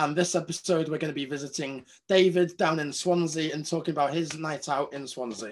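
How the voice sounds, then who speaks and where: A man with a Welsh accent and a fairly high pitch speaks at a fairly quick pace with hardly any pauses and fairly even intonation, on a very clean recording with a silent background. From Wales. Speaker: podcast host. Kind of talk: casual chat.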